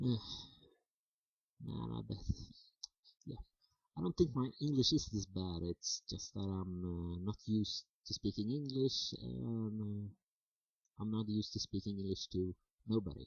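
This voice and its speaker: A man's fairly low, somewhat breathy voice with lively intonation, at a fairly slow pace broken by long, frequent pauses. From Sweden. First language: Swedish. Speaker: vlogger. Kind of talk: casual monologue to camera. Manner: halting, many fillers.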